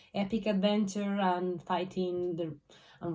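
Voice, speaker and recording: A woman's voice of medium pitch with a dark, mellow tone. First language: Spanish. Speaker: booktuber. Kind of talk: casual vlog talk. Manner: halting, many fillers.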